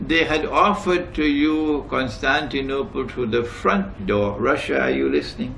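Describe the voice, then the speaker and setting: There is audible room echo. A man talks at a fairly slow pace. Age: 70s. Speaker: Islamic scholar. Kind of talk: lecture. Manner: emphatic.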